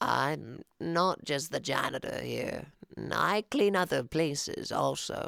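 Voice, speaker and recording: Someone uses a put-on character voice, talking at a fairly slow pace. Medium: read story.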